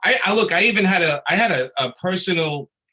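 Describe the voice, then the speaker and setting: Speaking in a Brooklyn accent, a man moves at a moderate pace with lively intonation. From Brooklyn, New York. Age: 50s. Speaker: comic book artist and writer. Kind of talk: panel discussion.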